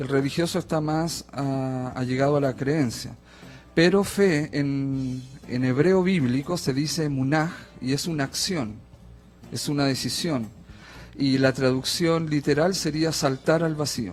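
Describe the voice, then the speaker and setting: Against background music, a man with a Chilean accent speaks at a fairly slow pace and a fairly high pitch, with ordinary pitch variation. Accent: Chilean, sing-song. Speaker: theologian and coach. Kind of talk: radio interview. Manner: hesitant, filler-heavy.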